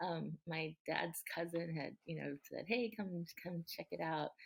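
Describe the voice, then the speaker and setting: A woman talks with a Californian accent. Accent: Californian American English. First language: Japanese. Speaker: city council member and former mayor. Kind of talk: podcast interview. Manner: halting, many fillers.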